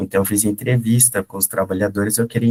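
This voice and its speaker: A somewhat breathy voice at a moderate pace. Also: man. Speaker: doctoral researcher presenting at a conference. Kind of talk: academic presentation. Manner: hesitant, many fillers.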